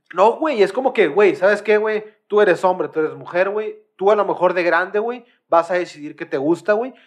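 In a Mexican accent, a man with a high pitch speaks at a moderate pace in an animated tone with ordinary pitch variation. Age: 20s. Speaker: podcast host. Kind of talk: casual chat.

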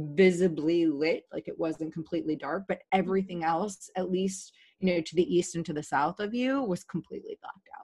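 A woman with an American accent speaks at a moderate pace. Her voice has a dark, mellow tone and a fairly low pitch. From Virginia, US. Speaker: podcast guest. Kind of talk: casual interview chat.

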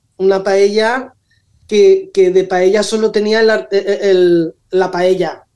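A woman's dark, mellow tone at medium pitch, with very even loudness, a very slow pace and monotone, flat intonation. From Valencia region, Spain (Rocafort). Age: 60s. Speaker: social media influencer. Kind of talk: radio interview.

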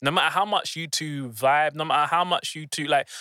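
Speaking at a fairly quick pace with a London accent, this voice has a bright, sharp tone and a dry, close sound with no echo. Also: man, very clean recording, silent background. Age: 20s. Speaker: business coach. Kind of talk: casual chat. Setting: studio.

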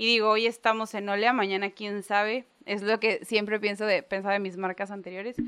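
In a bright, sharp tone, a woman speaks at a fairly quick pace with hardly any pauses. Her intonation is monotone and flat. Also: medium pitch for a woman. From Mexico, Gulf coast island area. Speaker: chef and restaurant owner. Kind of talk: casual interview chat.

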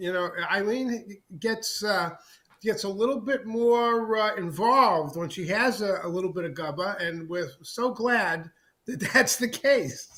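With a raised, projected voice, a man talks at a fairly slow pace, his high pitch carrying lively intonation. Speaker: liquor brand representative. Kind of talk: casual chat. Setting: remote call. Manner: halting.

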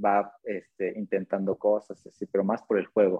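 A man speaks at a moderate pace in a plain, everyday voice with medium pitch. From Mexico, Atlixco, Puebla. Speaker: circus artist and acrobatics coach. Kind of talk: interview. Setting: live stream.

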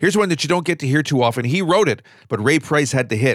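Lively intonation runs through a man's ordinary speaking voice, set at a fairly high pitch. The very clean recording has a silent background and a dry, close sound with no echo. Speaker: radio host. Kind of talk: radio DJ patter introducing songs, scripted-sounding. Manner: smooth, upbeat, friendly; clear, measured, informative.

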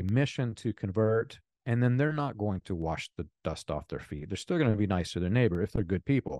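A dark, mellow tone with lively intonation over a quiet background. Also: man. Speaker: author and ex-cult member. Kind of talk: interview conversation.

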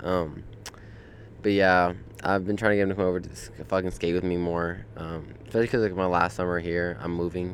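A man speaks at a fairly quick pace in a very deep, low voice. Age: 20s. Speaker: podcast host. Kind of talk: casual monologue. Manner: animated.

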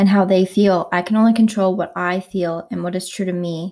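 A woman's dark, mellow voice in a monotone, flat delivery at a moderate pace, on a very clean recording with a silent background. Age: 20s. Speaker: podcast host. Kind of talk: casual monologue.

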